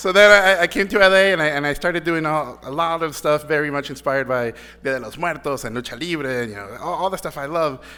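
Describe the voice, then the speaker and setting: A man with a Mexican accent talks very fast in a bright, sharp tone at a fairly high pitch, with ordinary pitch variation, big swings in loudness and hardly any pauses. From Mexico (Mexico City, Tijuana). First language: Spanish. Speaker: animation director. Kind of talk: award acceptance speech. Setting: stage with audience. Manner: halting, many repeated words.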